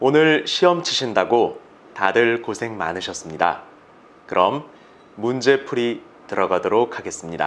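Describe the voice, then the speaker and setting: Delivered at a fairly slow pace, the speech has long, frequent pauses and very wide pitch swings. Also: man, medium pitch for a man. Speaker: voice actor. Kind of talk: exam commentary lecture.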